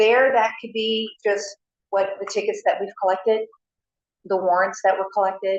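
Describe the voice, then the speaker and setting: Her intonation monotone and flat, a woman speaks at a medium pitch with an American accent. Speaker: city finance staff. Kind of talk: council meeting report. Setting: city council meeting. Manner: fast; many filler ums.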